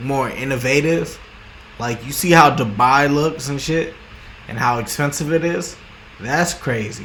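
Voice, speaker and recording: A man mumbles in a fairly high pitch at a fairly slow pace, with ordinary pitch variation. Long, frequent pauses break up his speech, and room echo is audible. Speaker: vlogger. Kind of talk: casual monologue. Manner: halting, many repetitions and restarts; rambling mumbling.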